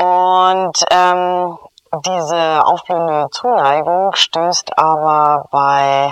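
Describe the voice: A clear, smooth tone and fairly even intonation unfold at a very slow pace.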